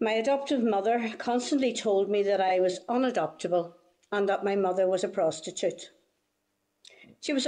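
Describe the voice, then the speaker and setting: With a Northern Irish accent, a woman speaks at a medium pitch and a moderate pace, her tone dark and mellow, her loudness very even and her pitch variation ordinary. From Northern Ireland. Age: 70s. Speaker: witness giving testimony. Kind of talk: testimony.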